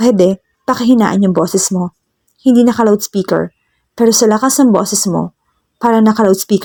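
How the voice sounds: A natural reading voice moves through ordinary pitch variation. All around it, the background stays quiet.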